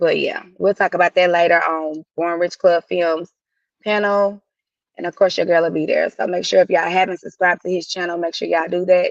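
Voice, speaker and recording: A woman with a Southern US accent, fairly low in pitch, flat and monotone at a fairly quick pace, in a dry, close sound with no echo. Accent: Southern twang. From US South, Tennessee. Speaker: livestream host. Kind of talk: casual live chat. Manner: bossy.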